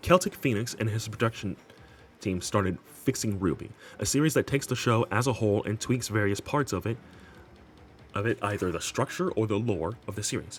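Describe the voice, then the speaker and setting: Lively intonation and a fairly quick pace carry the speech over music in the background. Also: man. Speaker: gaming commentary youtuber. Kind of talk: scripted commentary video. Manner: halting, with repeats and flubs.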